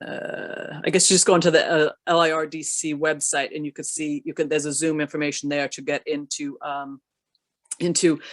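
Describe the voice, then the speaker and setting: Delivered at a fairly quick pace, the voice shows big swings in loudness and has a dry, close sound with no echo. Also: woman. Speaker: state economic development official. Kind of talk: panel discussion. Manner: fast.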